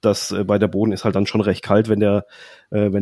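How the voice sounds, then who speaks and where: This is a man with a fairly low voice. The recording is very clean and dry, close up with no echo and a silent background. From southern Baden, Germany. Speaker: caravan blogger. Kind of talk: casual chat.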